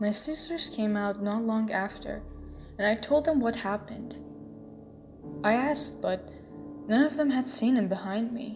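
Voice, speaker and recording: Music plays in the background as a woman speaks at a fairly high pitch. Her moderate pace is broken by long, frequent pauses. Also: ordinary pitch variation. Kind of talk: horror story narration.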